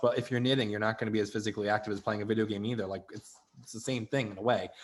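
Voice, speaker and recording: Here a man speaks with a Rhode Island accent. His pitch is medium and his intonation fairly even. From Rhode Island, Barrington. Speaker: student web show host. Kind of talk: casual advice chat.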